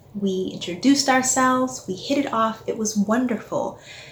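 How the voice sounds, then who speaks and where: Over noticeable background noise, a woman speaks at a moderate pace with an American accent. Her pitch varies in an ordinary way. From Texas, near Houston. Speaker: listener storyteller. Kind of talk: personal storytelling.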